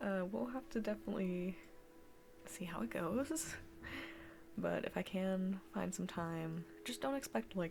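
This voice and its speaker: Quiet speech with long, frequent pauses. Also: fairly slow pace. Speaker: streamer. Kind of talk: casual chat. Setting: home basement livestream.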